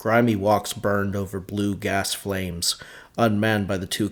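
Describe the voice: What you hear here is plain reading aloud.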